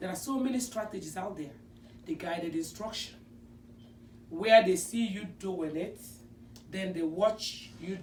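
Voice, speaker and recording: A woman with a non-native accent speaks at a fairly slow pace in a medium pitch. Her pitch swings very widely. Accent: non-native accent from home country. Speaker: special education teacher. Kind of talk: presentation.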